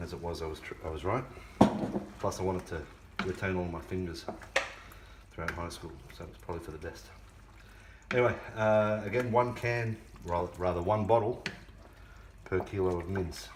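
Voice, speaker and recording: A man's very deep, low voice at a moderate pace, with ordinary pitch variation, long, frequent pauses and big swings in loudness, plus audible room echo and noticeable background noise. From Scotland. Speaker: home cooking youtuber. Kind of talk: cooking tutorial. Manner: casual, chatty.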